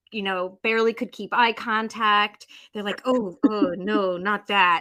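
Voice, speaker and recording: The speaker has an American accent and a bright, sharp tone. Delivery is fairly slow with fairly even intonation but big swings in loudness. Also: woman, medium pitch for a woman. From United States. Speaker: author and life coach. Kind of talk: podcast interview. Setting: remote call.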